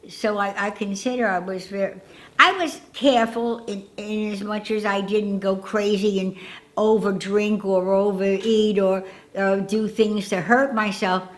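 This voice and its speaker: Audible room echo surrounds a woman with an American accent who speaks fairly slowly at a medium pitch with fairly even intonation. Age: 90s. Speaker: elderly interviewee sharing life memories. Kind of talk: casual interview. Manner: halting, with many fillers and repetitions.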